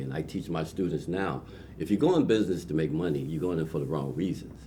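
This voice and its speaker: Amid audible room echo, a man with a very deep, low pitch talks at a fairly quick pace with fairly even intonation. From Trenton, New Jersey. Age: 60s. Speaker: entrepreneur. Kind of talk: interview.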